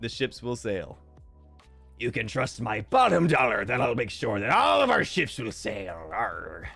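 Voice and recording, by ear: A man uses a put-on character voice at a medium pitch. Faint music plays in the background. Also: moderate pace.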